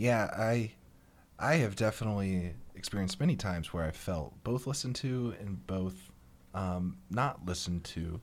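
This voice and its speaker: An unremarkable speaking voice from a man with an American accent and a fairly low pitch, on a very clean recording with a silent background. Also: lively intonation, moderate pace. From rural conservative US area. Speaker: guest panelist. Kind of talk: casual panel discussion.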